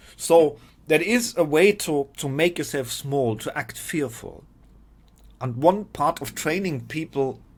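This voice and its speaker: A man's fairly high voice with a non-native accent, fairly slow, with ordinary pitch variation, on a very clean recording with a silent background. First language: not English. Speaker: spiritual teacher. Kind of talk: informal talk to camera. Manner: halting, repeats words.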